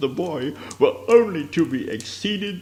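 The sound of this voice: Lively intonation marks this passage. The reading voice is unforced.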